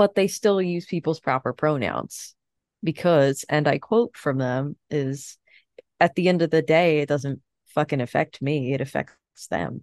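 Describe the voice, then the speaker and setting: In a dry, close recording with no echo and a quiet background, the speaker talks at a fairly slow pace with ordinary pitch variation. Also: woman, very deep, low pitch for a woman. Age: 30s. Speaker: podcast co-host. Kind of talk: casual chat.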